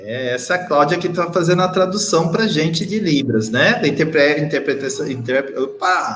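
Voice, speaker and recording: Pitched high for a man, his voice has lively intonation. He keeps a moderate pace with hardly any pauses. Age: 50s. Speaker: education official hosting a web TV show. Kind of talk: live web show hosting. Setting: video stream from a bright room.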